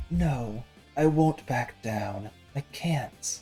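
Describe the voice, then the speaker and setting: In a strained, put-on character voice pitched low-to-middle, the speaker talks over faint music in the background. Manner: determined, defiant.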